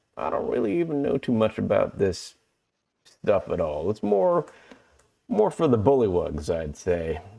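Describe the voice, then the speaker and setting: A man does a put-on, drawling character voice at a medium pitch. He keeps a moderate pace over a quiet background. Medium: actual play. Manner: slow, drawling.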